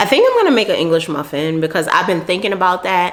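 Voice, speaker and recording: A woman talks in a New York accent. Noticeable background noise runs behind her. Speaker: beauty and lifestyle vlogger. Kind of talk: casual vlog talk to camera. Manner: casual, chatty.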